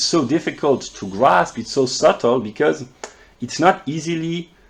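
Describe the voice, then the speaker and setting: Speaking at a moderate pace, a man talks with a French accent. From France. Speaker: philosophy video creator. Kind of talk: lecture. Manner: halting.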